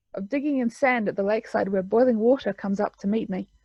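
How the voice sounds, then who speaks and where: Fairly quick and with fairly even intonation, a woman speaks in a New Zealand accent. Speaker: author. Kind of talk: casual talk to camera; reading aloud.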